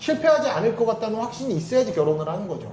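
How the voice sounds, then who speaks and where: Over noticeable background noise and audible room echo, a man talks at an extremely high pitch. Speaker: international marriage broker. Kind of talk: casual chat. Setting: coffee shop office. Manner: fast; forceful.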